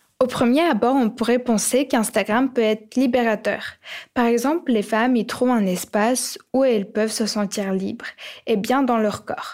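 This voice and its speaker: This woman has an ordinary speaking voice, fairly high in pitch, with ordinary pitch variation, very even loudness and a moderate pace. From Ukraine. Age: young. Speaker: podcast co-host. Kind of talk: scripted podcast narration.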